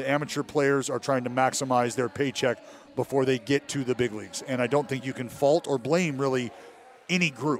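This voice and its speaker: A man speaks at a fairly quick pace in a medium-pitched voice, with noticeable noise in the background. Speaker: baseball TV analyst, former pitcher. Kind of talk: casual sports talk. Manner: animated.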